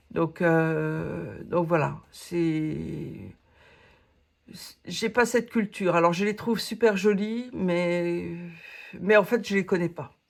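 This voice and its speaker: A woman speaks at a very slow pace with long, frequent pauses. Her loudness swings widely, while her pitch varies in an ordinary way. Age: 60s. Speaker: coloring hobby YouTuber. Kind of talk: casual Q&A monologue. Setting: home office. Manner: hesitant, many fillers.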